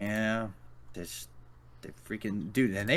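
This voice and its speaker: This man speaks quietly and at a fairly quick pace, his pitch fairly low. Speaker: tabletop role-playing game player. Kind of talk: casual chat.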